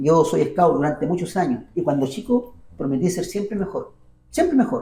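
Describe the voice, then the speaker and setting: With a Chilean accent, a man speaks in a dark, mellow tone with very wide pitch swings. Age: 60s. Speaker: university minstrel musician and auditor. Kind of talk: interview.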